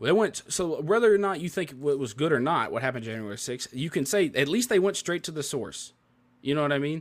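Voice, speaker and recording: In a very clean recording with a silent background, a man with a Memphis accent speaks fairly quickly at a fairly high pitch, with lively intonation. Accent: Southern US (Memphis). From US South, Memphis, Tennessee. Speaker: podcast host. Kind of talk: casual chat.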